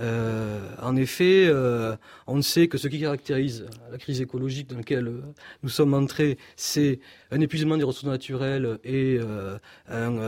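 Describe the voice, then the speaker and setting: A man with a southern French accent and a medium-pitched voice speaks fairly slowly with ordinary pitch variation and long, frequent pauses. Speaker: philosopher. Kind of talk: radio interview.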